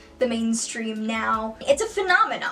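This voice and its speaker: A fairly high female voice over music in the background. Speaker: singer and video essayist. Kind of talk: video essay talk to camera. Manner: casual, rambling.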